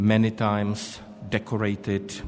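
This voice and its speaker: With music in the background and audible room echo, a man talks at a fairly low pitch. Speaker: panel chair, diplomat. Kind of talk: conference panel moderation. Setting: conference hall. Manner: formal.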